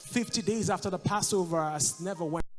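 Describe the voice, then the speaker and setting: A man with a high voice speaks with ordinary pitch variation. Music plays in the background. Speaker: spoken word poet performing at a church service. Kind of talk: spoken word poetry with background music, church setting.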